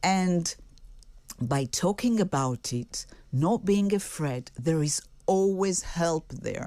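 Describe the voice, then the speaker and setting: Lively intonation and a dark, mellow tone mark this voice, which speaks with an Israeli accent. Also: woman, very clean recording, silent background. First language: Hebrew. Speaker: singer-songwriter. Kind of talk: radio interview.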